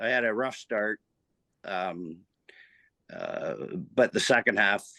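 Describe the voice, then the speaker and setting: With a Canadian accent, a man talks at a fairly slow pace with lively intonation and a bright, sharp tone, recorded dry and close with no echo against a quiet background. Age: 60s. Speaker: amateur race car driver. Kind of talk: podcast interview. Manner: halting, many fillers.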